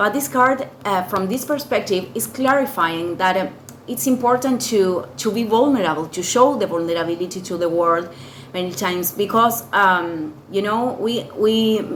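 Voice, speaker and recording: A woman at a medium pitch with a non-native accent, lively intonation and a moderate pace, plus audible room echo and noticeable background noise. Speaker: tarot reader. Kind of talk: tarot reading. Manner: halting, many fillers and repetitions.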